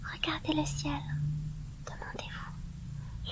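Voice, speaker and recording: Someone whispers over noticeable background noise. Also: woman. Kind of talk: book reading. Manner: soft-spoken.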